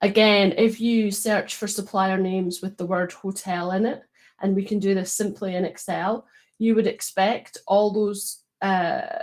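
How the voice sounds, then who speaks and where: At a moderate pace, a woman talks in a medium pitch with ordinary variation. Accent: Scottish. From Scotland. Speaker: data quality consultant. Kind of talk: live stream panel discussion. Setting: online live stream.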